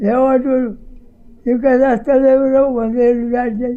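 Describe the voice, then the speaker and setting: A man with a Telangana accent speaks at an extremely high pitch in a dark, mellow tone, his intonation monotone and flat. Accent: Telangana Telugu. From Telangana, Nalgonda district. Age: 80s+. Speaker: freedom fighter. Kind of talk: interview answer.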